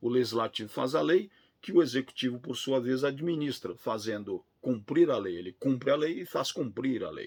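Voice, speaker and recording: Big swings in loudness and hardly any pauses, in a Brazilian accent, on a very clean recording with a silent background. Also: man, medium pitch for a man, lively intonation, moderate pace. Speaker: law professor. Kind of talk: lecture.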